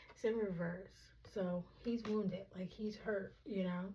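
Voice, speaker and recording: Soft-spoken and somewhat breathy, a woman speaks at a medium pitch with a dark, mellow tone. Her pace is moderate. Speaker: tarot reader. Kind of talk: tarot reading. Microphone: microphone clip broken, audio may be poor.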